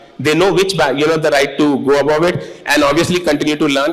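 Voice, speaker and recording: With noticeable background noise behind him, a man speaks fairly quickly in a fairly high pitch. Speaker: corporate executive, panelist. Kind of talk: panel discussion.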